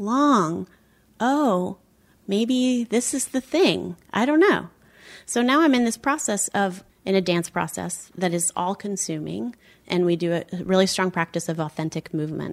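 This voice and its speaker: In a very clean recording with a silent background, a woman with an ordinary speaking voice talks at a medium pitch with lively intonation. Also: fairly slow pace. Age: 40s. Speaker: dancer and somatic therapist. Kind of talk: casual chat.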